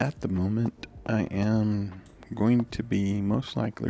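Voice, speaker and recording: A man speaks quietly at a very slow pace, his fairly low pitch carrying lively intonation over music in the background. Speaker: gaming youtuber. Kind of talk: gameplay commentary. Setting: home at night while kids sleep.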